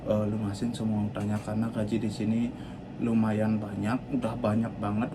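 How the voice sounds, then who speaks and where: Audible room echo follows the words as they come at a moderate pace. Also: man. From Bali, Indonesia. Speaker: cruise ship worker and vlogger. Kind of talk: personal life story vlog. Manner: halting, with fillers and restarts; stiff, not yet fluent on camera.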